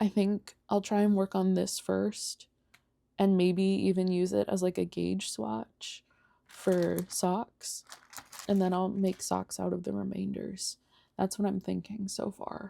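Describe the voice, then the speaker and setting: A soft-spoken woman at a fairly slow pace, with a dry, close sound and no echo. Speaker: knitting and crochet vlogger. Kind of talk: casual chat. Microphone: mic close to speaker.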